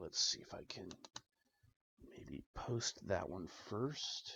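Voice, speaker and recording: Whispering and mumbling, a man talks at a fairly slow pace. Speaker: DIY tech hobbyist. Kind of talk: tutorial with self-talk. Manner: whispering, mumbling to self.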